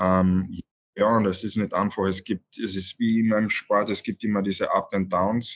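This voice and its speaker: This man has a fairly low pitch and a monotone, flat intonation. He keeps a moderate pace. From Austria, Carinthia (Villach). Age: 20s. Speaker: ice hockey player. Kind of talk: interview. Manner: halting, many fillers.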